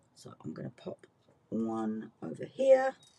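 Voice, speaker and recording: Her pitch swinging very widely, a woman speaks with a British accent. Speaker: craft demonstrator. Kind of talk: tutorial. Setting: online workshop video. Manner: casual, chatty.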